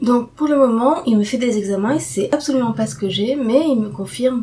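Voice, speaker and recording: With lively intonation, a woman speaks at a moderate pace. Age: 40s. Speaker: patient sharing testimony. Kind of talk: casual talk to camera. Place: home room. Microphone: webcam.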